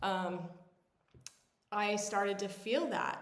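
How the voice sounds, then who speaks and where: Using an unremarkable speaking voice, a woman talks at a medium pitch and a fairly slow pace. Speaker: personal growth mentor. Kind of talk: reflective talk to camera.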